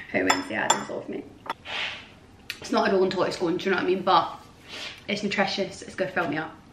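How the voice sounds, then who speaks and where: A woman speaks with a Scottish accent at a very fast pace. Noticeable background noise runs behind her. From Scotland. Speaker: vlogger. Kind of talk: casual vlog. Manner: animated; shaky.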